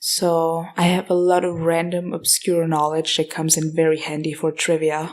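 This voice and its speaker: In an Austrian accent, a woman speaks at a moderate pace with a fairly low pitch, monotone intonation and hardly any pauses, in a very clean recording with a silent background. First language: German (Austrian dialect). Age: 20s. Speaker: podcast host. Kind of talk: casual Q&A monologue. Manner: casual, hesitant.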